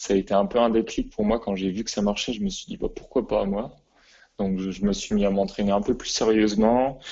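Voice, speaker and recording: Fairly low in pitch, a man's unremarkable speaking voice moves at a fairly quick pace. His intonation stays fairly even. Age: 20s. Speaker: athlete and physiotherapist. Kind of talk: interview.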